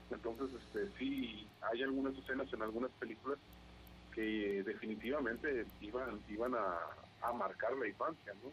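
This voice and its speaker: A man at medium pitch with ordinary pitch variation, talking at a moderate pace over noticeable background noise. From Mexico, Veracruz (Xalapa). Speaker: aspiring podcaster. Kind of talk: casual chat. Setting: call.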